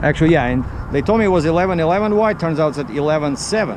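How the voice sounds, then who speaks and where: Over noticeable background noise, the voice moves at a fairly quick pace. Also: man. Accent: Russian. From Russia. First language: Russian. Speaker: truck driver. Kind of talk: vlog narration. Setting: outdoors at a shipper's yard. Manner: casual, conversational.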